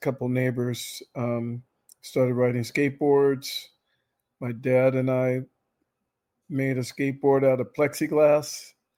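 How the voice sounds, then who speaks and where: A man at medium pitch speaks at a fairly slow pace, with long, frequent pauses. His intonation stays monotone and flat. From Southern California (Orange County). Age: 60s. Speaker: pro skateboarder. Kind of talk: interview. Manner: halting.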